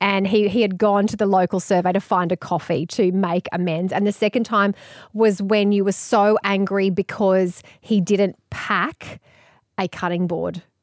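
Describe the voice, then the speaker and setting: A woman of medium pitch speaks in an Australian accent, monotone and flat, at a moderate pace. The recording is very clean with a silent background and a dry, close sound with no echo. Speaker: radio presenter and author. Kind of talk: casual interview chat.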